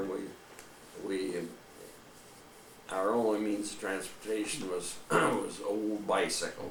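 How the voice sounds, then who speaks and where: Over noticeable background noise, a man with a fairly low voice speaks at a very slow pace. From Cedar Rapids, Iowa, USA. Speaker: retired company co-founder and president. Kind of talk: interview answer.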